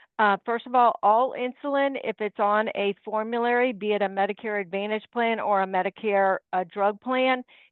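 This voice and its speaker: A normal speaking voice at a moderate pace, with fairly even intonation and hardly any pauses. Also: woman, fairly high pitch for a woman. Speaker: independent insurance agent. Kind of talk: webinar presentation.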